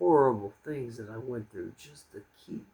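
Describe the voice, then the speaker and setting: A man speaks with an American accent. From US. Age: 40s. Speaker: expat vlogger and English teacher. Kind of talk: casual monologue vlog. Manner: calm; halting with fillers.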